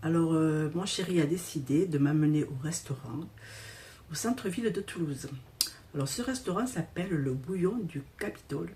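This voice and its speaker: A woman with a fairly low voice talks at a moderate pace. Her intonation is lively, and there is noticeable background noise. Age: 60s. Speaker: vlogger. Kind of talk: casual vlog. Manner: halting.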